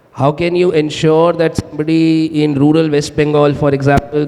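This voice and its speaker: A man's fairly high voice, monotone and flat, at a moderate pace over noticeable background noise. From India, Himachal Pradesh. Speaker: startup founder. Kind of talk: panel discussion.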